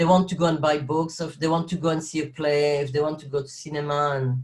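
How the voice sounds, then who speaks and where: Speaking at a fairly quick pace, this man has a somewhat breathy voice and a fairly high pitch. He talks in a French accent. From French-speaking Belgium. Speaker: actor and carer. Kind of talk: interview conversation. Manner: halting, with many fillers.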